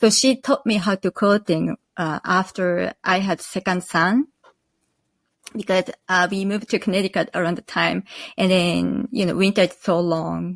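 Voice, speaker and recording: Captured in a very clean recording with a silent background and a dry, close sound with no echo, a woman with vocal fry speaks at a moderate pace and medium pitch with ordinary pitch variation. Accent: Japanese. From northern Japan, Akita. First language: Japanese. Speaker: quilt pattern designer. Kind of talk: interview. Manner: halting.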